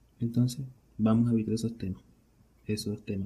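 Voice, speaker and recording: A man's medium-pitched voice, dark and mellow in tone, somewhat breathy, with fairly even intonation. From Venezuela. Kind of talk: casual solo podcast monologue.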